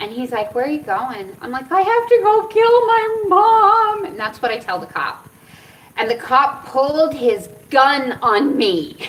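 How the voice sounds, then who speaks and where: Speaking fairly slowly in a high voice, a woman sounds animated, her pitch swinging very widely and her loudness rising and falling sharply, with noticeable background noise and audible room echo. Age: 40s. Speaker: cannabis and cancer vlogger. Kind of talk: casual storytelling vlog.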